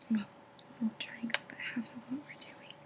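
A woman is whispering. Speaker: ASMR creator. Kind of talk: ASMR knitting tutorial. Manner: soft-spoken, whispered. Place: home room. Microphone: webcam.

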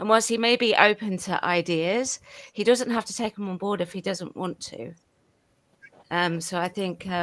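A woman with a normal speaking voice talks at a moderate pace and medium pitch, with ordinary pitch variation and big swings in loudness. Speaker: panelist. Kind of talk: live panel discussion. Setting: video call.

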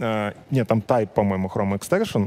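Very fast and lively in intonation, a man talks in a dark, mellow tone. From Belarus. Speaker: web developer and conference speaker; conference speaker. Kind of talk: conference talk. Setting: stage with audience. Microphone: headset.

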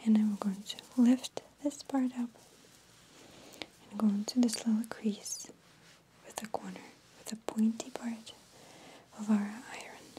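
A soft-spoken woman with a fairly high pitch talks fairly slowly in a monotone, flat way, with long, frequent pauses, big swings in loudness, and noticeable background noise. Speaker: ASMR creator. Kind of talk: ASMR ironing tutorial. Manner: lip-smacking, sassy. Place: home room.

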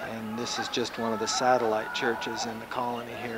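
There is loud background noise. A man is speaking. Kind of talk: casual narration of home video. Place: open country. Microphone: old recording.

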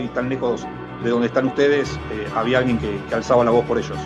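A man talks at a medium pitch. Clear music plays in the background. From Argentina. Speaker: soccer broadcaster on radio and TV. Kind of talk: interview answer. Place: home room. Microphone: webcam.

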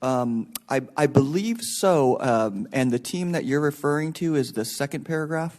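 Against a quiet background, a man is speaking. He talks at a moderate pace with ordinary pitch variation. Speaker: county staff presenter. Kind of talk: formal presentation. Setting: public board meeting. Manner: halting.

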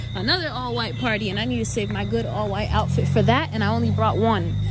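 Over background music, a woman talks at a very fast pace in a dry sound with no echo. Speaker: travel vlogger. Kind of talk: casual vlog chat.

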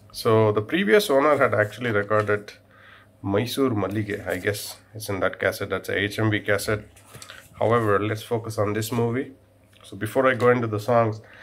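In an ordinary speaking voice, a man talks at a moderate pace with fairly even intonation. His pitch is fairly low for a man. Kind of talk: casual show-and-tell commentary. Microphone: phone near.

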